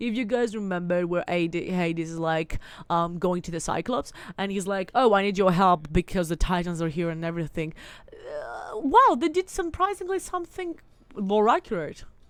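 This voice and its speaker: A woman's animated, medium-pitched voice with lively intonation on a very clean recording with a silent background. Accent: Greek. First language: Greek. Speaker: gaming streamer. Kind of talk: casual chat. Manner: rambling, animated.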